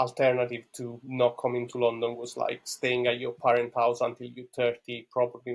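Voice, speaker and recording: With an Italian accent, a man speaks at a moderate pace and medium pitch in a monotone, flat intonation. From Italy (Rome). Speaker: podcast guest, Bitcoin enthusiast. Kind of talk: interview conversation. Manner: hesitant, many fillers and repeats.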